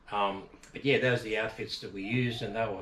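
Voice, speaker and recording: A man talks with an Australian accent. Room echo is audible. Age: 50s. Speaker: fishing channel host. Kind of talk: casual tutorial. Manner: casual, many fillers.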